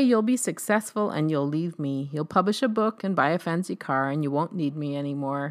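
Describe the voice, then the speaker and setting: A woman talks in an ordinary speaking voice at a fairly low pitch, on a very clean recording with a silent background. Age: 50s. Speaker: essay author reading her own writing. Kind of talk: reading aloud.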